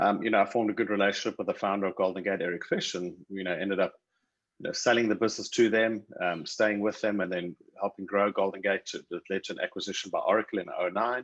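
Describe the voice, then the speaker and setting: Talking at a very fast pace, a man with a South African accent keeps a fairly low pitch and fairly even intonation. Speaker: tech company CEO. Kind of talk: interview.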